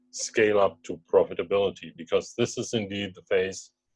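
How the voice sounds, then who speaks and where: A man with a German accent, fairly low pitch and moderate pace, music in the background. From Germany. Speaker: startup co-founder. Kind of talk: investor pitch webinar. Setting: video call.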